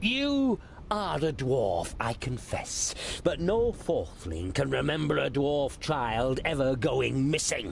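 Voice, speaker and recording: A man does a put-on character voice over clear background noise. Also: fairly slow pace. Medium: video game. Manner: haughty, condescending.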